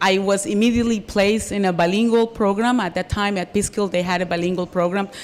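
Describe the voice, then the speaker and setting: A woman with a Colombian accent speaks with fairly even intonation. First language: Spanish. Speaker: Spanish teacher and union leader. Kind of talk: interview.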